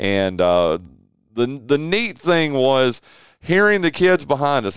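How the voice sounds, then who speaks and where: A man's medium-pitched voice in a Southern US accent, with very wide pitch swings. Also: very clean recording, silent background. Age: 50s. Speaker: sports talk show host. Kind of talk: casual sports talk.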